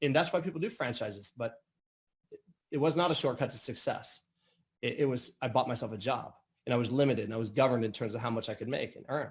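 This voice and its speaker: Somewhat breathy and at medium pitch, a man talks at a very fast pace with ordinary pitch variation yet long, frequent pauses. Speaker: business opportunity presenter. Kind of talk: sales pitch. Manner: halting.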